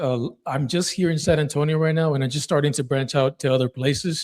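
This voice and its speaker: A plain, everyday voice moves at a fairly quick pace with fairly even intonation, on a very clean recording with a silent background. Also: man. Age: 30s. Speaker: real estate investor. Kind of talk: sales call.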